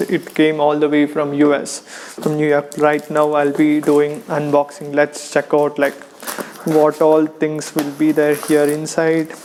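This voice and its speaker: Flat, monotone delivery in an Indian accent at a fairly slow pace, over noticeable background noise. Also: man. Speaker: online business course reviewer. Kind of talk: casual unboxing talk to camera.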